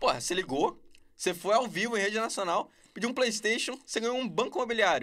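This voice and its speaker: Here a man talks at a fairly quick pace. His pitch is high and his tone bright and sharp. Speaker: YouTuber reviewing TV series. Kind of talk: casual chat. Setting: podcast studio.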